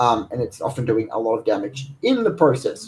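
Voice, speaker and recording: A man's voice is somewhat breathy. His pitch swings very widely. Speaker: energy healer. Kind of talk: livestream talk. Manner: fast; hesitant, many fillers.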